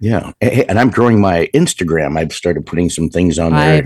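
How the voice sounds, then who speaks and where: A man talks at a moderate pace in a very deep, low voice with ordinary pitch variation. The audio is dry and close, without echo. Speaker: podcast co-host.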